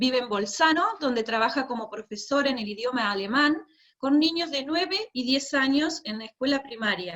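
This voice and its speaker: Lively intonation in a woman's high voice. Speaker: event moderator. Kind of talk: formal introduction.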